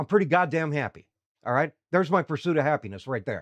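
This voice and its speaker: Against a quiet background, a man with a fairly high voice talks in an animated tone with ordinary pitch variation. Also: dry, close sound with no echo. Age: 60s. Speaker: livestream host. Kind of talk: casual chat.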